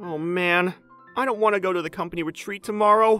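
Faint music plays behind a man's put-on character voice, whiny and raised, projected, with a nervous, whiny tone at a fairly quick pace. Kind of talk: anime dub acting. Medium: cartoon. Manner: nervous, whiny, panicky.

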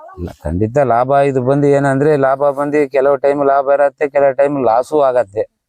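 A man speaks in a normal speaking voice at medium pitch with fairly even intonation. The sound is dry and close, with no echo. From Bhadravati, Shivamogga district, Karnataka. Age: 40s. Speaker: river fisherman. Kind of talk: interview.

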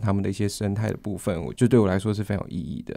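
A man's fairly low voice has a dark, mellow tone and ordinary pitch variation against a quiet background. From Taiwan, Kaohsiung (Xiaogang); Taiwan. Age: 20s. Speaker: university student. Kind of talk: interview; interview answer. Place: studio.

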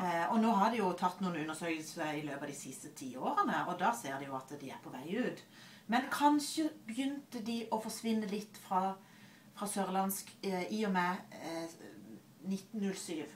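A woman's medium-pitched voice with a Southern Norwegian accent, very wide pitch swings, a moderate pace and light background noise. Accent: Southern Norwegian, soft consonants. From Southern Norway. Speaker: librarian and linguist. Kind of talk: casual conversation on camera. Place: office. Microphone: webcam.

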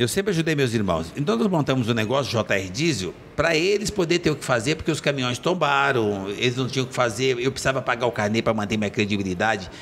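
A man talks at a very fast pace. His pitch swings very widely over light background noise. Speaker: guest. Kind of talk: interview answer. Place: studio. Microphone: studio mic.

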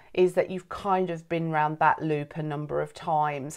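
A woman's fairly low pitch and fairly even intonation at a moderate pace, over a quiet background. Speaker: coach or host of a program. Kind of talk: welcome talk to camera. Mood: warm, earnest. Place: home room. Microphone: phone near.

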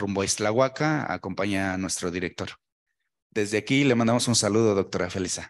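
A man with a normal speaking voice, fairly low in pitch, at a fairly quick pace and with ordinary pitch variation. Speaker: event moderator. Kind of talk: formal event hosting. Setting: lecture hall. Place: meeting room.

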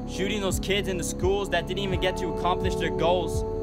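A man is speaking. Loud music plays in the background. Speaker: spoken word performer. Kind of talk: spoken word poetry. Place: forest. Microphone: phone near.

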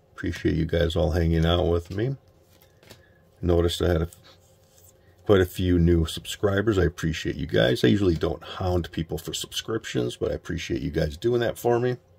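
Quiet and fairly quick, a man with a very deep, low pitch and vocal fry speaks with lively intonation. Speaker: sports card collector. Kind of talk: casual pack-opening vlog. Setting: at home late at night. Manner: quiet, subdued; mellow, relaxed.

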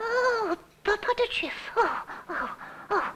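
A man performs a cartoonish character voice at an extremely high pitch. He delivers it at a fairly slow pace. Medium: puppet. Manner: playful nonsense babble.

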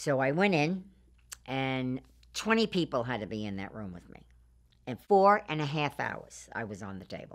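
A moderate pace with very wide pitch swings, over a quiet background. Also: woman, very deep, low pitch for a woman. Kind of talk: interview answer. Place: studio. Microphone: lapel.

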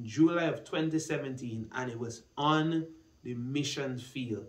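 In a room with audible echo, a man speaks at a very slow pace with ordinary pitch variation. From Guyana. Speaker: church minister and student. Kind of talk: personal testimony. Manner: hesitant with fillers. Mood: calm, earnest, reflective. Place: studio.

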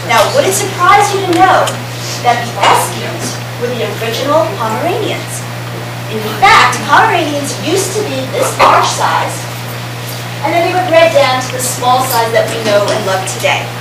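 Woman at a moderate pace, audible room echo, music in the background. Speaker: presenter. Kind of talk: lecture. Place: hall. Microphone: camera far.

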